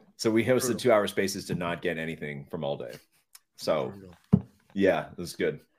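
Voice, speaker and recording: The voice carries vocal fry and a lively intonation. It moves along at a moderate pace. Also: man. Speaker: podcaster. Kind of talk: casual chat. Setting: video call.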